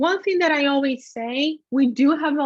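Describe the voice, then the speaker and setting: A woman with a Brazilian accent at a moderate pace, with ordinary pitch variation and a dry, close sound with no echo. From Brazil, Rio de Janeiro. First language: Portuguese. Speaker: affiliate manager, webinar host. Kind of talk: webinar presentation. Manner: conversational, casual.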